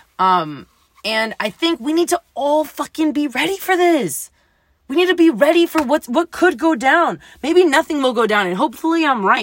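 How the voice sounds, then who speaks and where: Her voice is high-pitched, and the intonation is lively. The woman is recorded with dry, close sound and no echo. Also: moderate pace. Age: 20s. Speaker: solo podcaster. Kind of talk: casual monologue. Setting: home recording, night after work. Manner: casual, filler-heavy.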